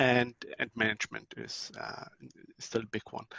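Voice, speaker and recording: A man at a medium pitch, talking at a fairly slow pace. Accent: German. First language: German. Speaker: network technology vendor presenter. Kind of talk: conference talk. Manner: hesitant, many fillers.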